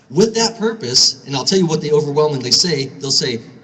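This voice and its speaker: An American accent with ordinary pitch variation over noticeable background noise. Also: man. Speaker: gun store owner and speaker. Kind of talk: speech at a rally. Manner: fast.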